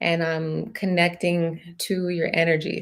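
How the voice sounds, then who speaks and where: A woman speaks at a fairly slow pace in a fairly low voice with monotone, flat intonation, captured in a very clean recording with a silent background. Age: 30s. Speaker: tarot reader. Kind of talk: live stream chat with viewers. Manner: casual, with many fillers.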